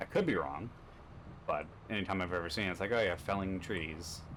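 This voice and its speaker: Speaking at a fairly quick pace, a man with a slight Canadian accent has a very deep, low pitch. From Canada. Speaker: gaming streamer. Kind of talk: gameplay commentary. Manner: fast.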